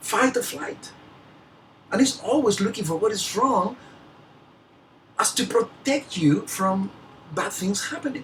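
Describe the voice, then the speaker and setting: With a non-native accent, the speaker talks at a fairly slow pace, leaving long, frequent pauses over noticeable background noise. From Peru. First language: Spanish. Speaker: motivational speaker. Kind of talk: motivational talk. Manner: halting, with word repetitions.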